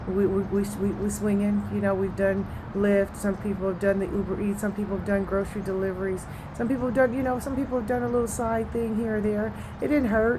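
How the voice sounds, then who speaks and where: With audible room echo and noticeable background noise, a woman speaks at a medium pitch and fairly quick pace with fairly even intonation. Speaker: network marketing promoter. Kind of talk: casual vlog monologue. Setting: outdoors. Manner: monotone.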